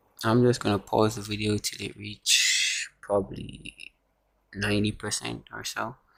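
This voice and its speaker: A man speaks quietly at a fairly slow pace. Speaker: phone repair tutorial maker. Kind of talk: tutorial. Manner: speaking quietly.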